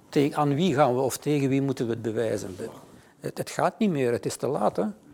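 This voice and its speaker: A man's dark, mellow tone at medium pitch, with lively intonation. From Flanders. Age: 60s. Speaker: author. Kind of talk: interview. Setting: studio.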